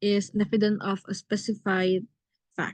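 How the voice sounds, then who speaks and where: Dry and close with no echo, a woman's voice comes across somewhat breathy with a dark, mellow tone. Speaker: writing teacher. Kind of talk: online lesson. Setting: video call with screen share. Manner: fast.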